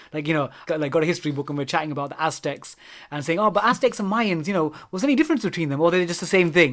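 In a London accent, a man talks at a very fast pace with a high pitch and ordinary pitch variation on a very clean recording with a silent background. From London, England. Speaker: maths teacher. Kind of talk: casual chat.

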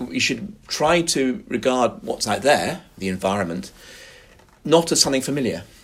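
Speaking with a London accent at a moderate pace, a man's medium-pitched voice swings very widely in pitch. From West London. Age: 50s. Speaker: professor and author. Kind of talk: interview.

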